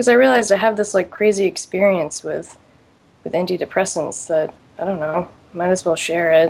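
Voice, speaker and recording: With an ordinary speaking voice at a medium pitch, a woman talks at a fairly quick pace with ordinary pitch variation. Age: 20s. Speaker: caller. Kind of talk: personal testimony.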